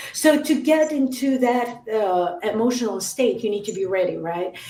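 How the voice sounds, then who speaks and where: A woman with a non-native accent speaks in a fairly high pitch with lively intonation, amid noticeable background noise and audible room echo. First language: not English. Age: 30s. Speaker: metalcore musician. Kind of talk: casual interview chat. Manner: halting.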